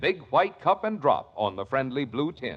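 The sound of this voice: At a fairly slow pace, a man speaks with big pitch swings.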